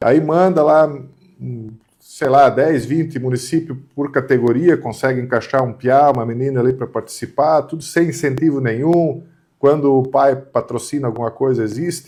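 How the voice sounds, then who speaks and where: With a fairly high pitch and a dark, mellow tone, a man speaks at a moderate pace using fairly even intonation. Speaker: channel host. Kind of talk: casual opinion discussion.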